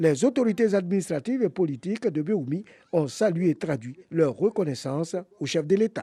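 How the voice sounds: A man with a fairly high pitch speaks at a fairly quick pace, his dark, mellow tone carrying a slightly husky edge and lively intonation.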